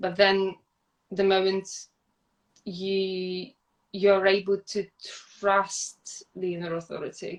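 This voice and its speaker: With long, frequent pauses, a woman with a non-native accent speaks very slowly in a monotone, flat way at a medium pitch. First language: not English. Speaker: podcast guest. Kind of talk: casual chat. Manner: halting, with frequent repetitions.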